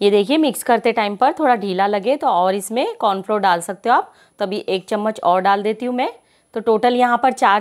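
A woman talks at a moderate pace, her pitch varying in an ordinary way, with little noise behind her. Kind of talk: tutorial.

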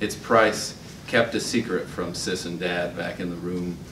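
Against noticeable background noise, a man with a General American accent talks at a moderate pace in a very deep, low voice. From Utah. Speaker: open mic poet. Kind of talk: poetry reading. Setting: stage with audience. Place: hall. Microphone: podium.

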